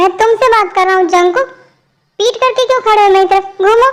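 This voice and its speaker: A woman's put-on character voice, extremely high in pitch, at a fairly quick pace with fairly even intonation. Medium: fan dub. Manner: authoritative.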